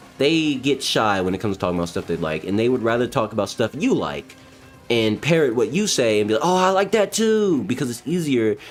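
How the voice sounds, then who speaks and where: Over music in the background, a man talks at a fairly quick pace in an animated tone, his medium-pitched voice making very wide pitch swings. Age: 20s. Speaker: gaming streamer. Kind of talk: casual livestream monologue. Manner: precise enunciation; animated, ranting.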